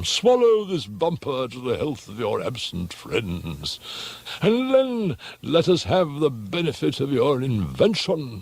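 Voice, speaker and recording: A man puts on a character voice at a fairly high pitch, its pitch swinging very widely. He goes at a fairly slow pace over light background noise. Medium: read story. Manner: boisterous, bullying.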